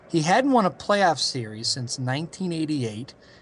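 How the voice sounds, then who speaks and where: A man with a fairly high pitch and very wide pitch swings, crowd noise in the background. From Canada. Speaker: podcast guest, sports fan. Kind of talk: casual chat.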